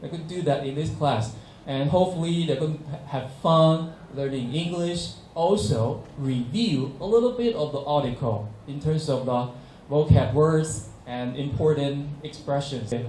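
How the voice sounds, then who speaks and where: A man speaks with a Chinese accent at a fairly slow pace, his pitch fairly high and its variation ordinary. Noticeable background noise and audible room echo fill the recording. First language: Mandarin Chinese. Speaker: English teacher. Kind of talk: workshop presentation. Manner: halting, frequent fillers.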